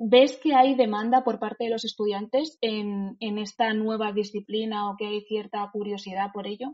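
A woman's plain, everyday voice, fairly high in pitch, at a moderate pace with hardly any pauses, fairly even intonation and big swings in loudness. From Spain, Madrid. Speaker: lawyer and podcast host. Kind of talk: interview.

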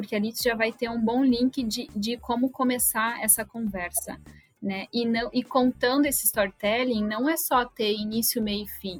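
This woman has an ordinary speaking voice, fairly high in pitch. Her intonation is fairly even and her pace moderate. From Rio Grande do Sul, Brazil. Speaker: HR business partner. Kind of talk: interview.

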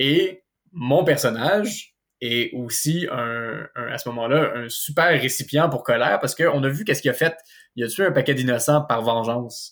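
A man with an ordinary speaking voice, fairly high pitch and ordinary pitch variation talks at a moderate pace on a very clean recording with a silent background. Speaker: larp organizer. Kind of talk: casual interview.

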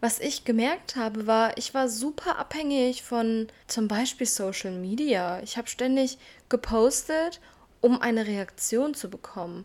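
A woman in a normal speaking voice, fairly slow, with ordinary pitch variation, on a very clean recording with a silent background. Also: fairly high pitch for a woman. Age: 20s. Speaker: self-development podcaster. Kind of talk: casual personal monologue.

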